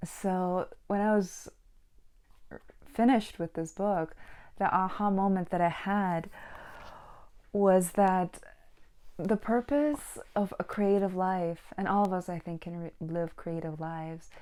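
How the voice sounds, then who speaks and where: Over a silent background in a very clean recording, a woman speaks very slowly with long, frequent pauses, a dark, mellow tone, medium pitch and ordinary pitch variation. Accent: non-native. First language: not English. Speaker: book vlogger and painter. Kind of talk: casual monologue; reading aloud.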